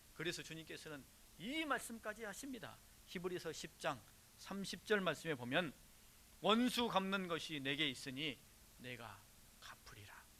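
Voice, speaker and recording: Pausing long and often, a man with a high, bright, sharp voice swings widely in pitch and loudness. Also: moderate pace. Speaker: pastor. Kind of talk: sermon. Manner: rhetorical questions to congregation.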